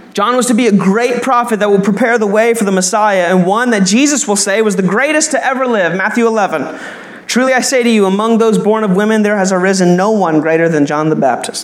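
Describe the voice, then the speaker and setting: Over noticeable background noise and audible room echo, a man speaks at a high pitch and a fairly quick pace, with very even loudness and ordinary pitch variation. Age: 20s. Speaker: pastor. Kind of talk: sermon. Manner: animated.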